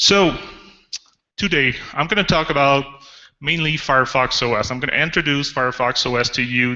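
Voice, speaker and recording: With a French Canadian accent, a man speaks at a fairly quick pace. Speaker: developer advocate. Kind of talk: conference talk. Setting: auditorium with audience. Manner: animated.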